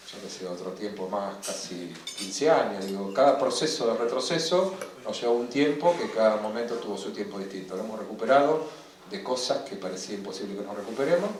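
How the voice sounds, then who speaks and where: A man speaks at a fairly quick pace with a medium pitch and lively intonation, his loudness swinging widely. Noticeable background noise and audible room echo surround him. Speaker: politician, interview guest. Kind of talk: public interview. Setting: café event with live audience.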